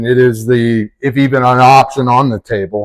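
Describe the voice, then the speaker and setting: A man speaks in a plain, everyday voice at medium pitch with ordinary pitch variation. The sound is dry and close, with no echo. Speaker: chiropractor. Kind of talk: interview questions.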